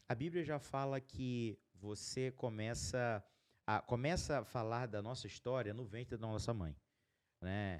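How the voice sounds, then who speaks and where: A man's unremarkable speaking voice at a fairly slow pace, with ordinary pitch variation. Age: 30s. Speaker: podcast host, entrepreneur. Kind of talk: casual chat.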